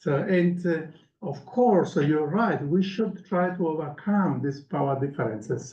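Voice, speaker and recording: Audible room echo surrounds a man with a Sicilian accent. His high voice moves at a moderate pace with ordinary pitch variation. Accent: Italian (Sicilian) accent in English. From Sicily, southern Italy. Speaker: professor. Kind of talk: Q&A after lecture. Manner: halting, many fillers.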